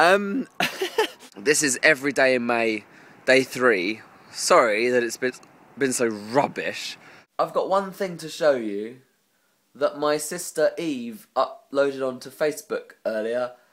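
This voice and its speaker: Lively intonation from a man with an English accent at medium pitch, fairly slow, with long, frequent pauses. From England. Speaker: vlogger. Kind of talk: casual vlog monologue.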